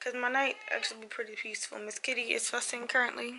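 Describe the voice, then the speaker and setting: A strained, high-pitched woman's voice amid noticeable background noise. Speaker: lifestyle vlogger. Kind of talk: casual vlog intro. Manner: strained, restricted speech.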